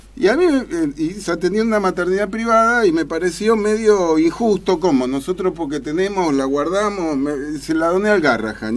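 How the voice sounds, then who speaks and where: Over noticeable background noise, a man speaks at a high pitch. His pitch swings very widely, and his pace is fairly quick. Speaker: publisher. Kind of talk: radio interview.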